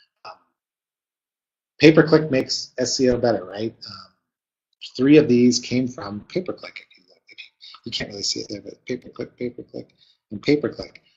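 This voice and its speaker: With long, frequent pauses and big swings in loudness, a man talks in a somewhat breathy voice at a medium pitch with ordinary pitch variation. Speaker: webinar presenter, marketing consultant. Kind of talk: webinar presentation. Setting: live webinar. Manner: fast; many fillers and hesitations.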